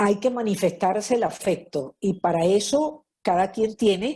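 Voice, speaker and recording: Somewhat breathy and dark, mellow in tone, a woman talks at a very slow pace with lively intonation. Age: 70s. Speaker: lecturer on marriage. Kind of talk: lecture. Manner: conversational, frequent fillers.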